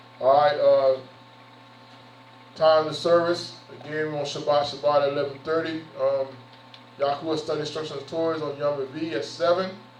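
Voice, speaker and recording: Amid noticeable background noise and audible room echo, a man with a fairly high pitch speaks in a monotone, flat intonation, with long, frequent pauses. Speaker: pastor. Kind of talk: sermon. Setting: church. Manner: fast; conversational.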